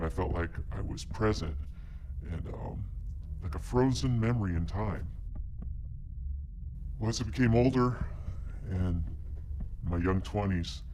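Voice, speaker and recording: Against clear background noise, a man puts on a character voice pitched very deep and low. He talks at a moderate pace. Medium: short film. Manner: earnest, hesitant, full of ums.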